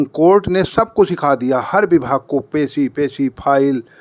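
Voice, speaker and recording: A man's fairly high-pitched voice with ordinary pitch variation, dry and close with no echo. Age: 60s. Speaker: retired teacher, litigant. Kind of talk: interview.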